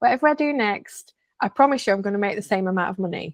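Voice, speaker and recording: With a Lancashire accent, a woman talks at a fairly quick pace, her pitch swinging very widely, in a dry, close sound with no echo. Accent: Bolton. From northern England, Bolton. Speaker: coach. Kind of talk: interview conversation. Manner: hesitant fillers, conversational.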